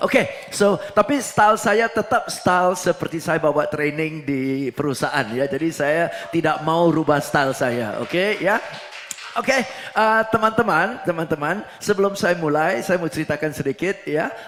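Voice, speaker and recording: Amid noticeable background noise, a man with a slight Singaporean accent talks at a moderate pace in a high voice with lively intonation. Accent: Singaporean accent in Indonesian, slight. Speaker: preacher and motivational trainer. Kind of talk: sermon in corporate training style. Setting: church. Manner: mixes English and Indonesian.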